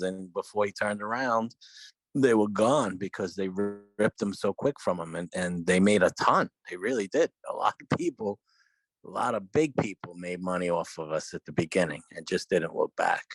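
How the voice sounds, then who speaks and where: Speaking in a New York accent at a moderate pace, a man uses a fairly low pitch with ordinary pitch variation, in a dry, close sound with no echo and music in the background. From New York, Brooklyn. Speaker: podcast co-host. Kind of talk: casual chat.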